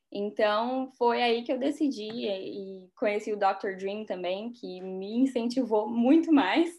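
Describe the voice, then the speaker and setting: Very slowly, a woman talks in a fairly high voice. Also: ordinary pitch variation, hardly any pauses. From Brazil, Rondônia (North). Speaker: dentist. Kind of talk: interview.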